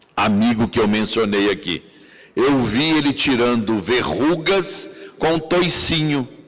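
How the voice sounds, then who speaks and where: The speech moves at a very slow pace with lively intonation. Noticeable background noise can be heard. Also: man. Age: 70s. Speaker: spiritist lecturer. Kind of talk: lecture.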